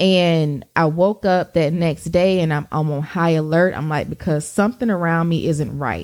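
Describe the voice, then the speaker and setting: A woman's fairly low voice in a Southern US accent, with ordinary pitch variation and a moderate pace, on a very clean recording with a silent background. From US South, Georgia. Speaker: podcast co-host. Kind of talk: casual chat.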